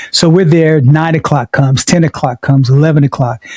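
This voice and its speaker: In a dry, close sound with no echo, a man with an American accent speaks in a somewhat breathy, fairly high voice with a dark, mellow tone and fairly even intonation. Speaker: podcast co-host. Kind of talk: casual chat.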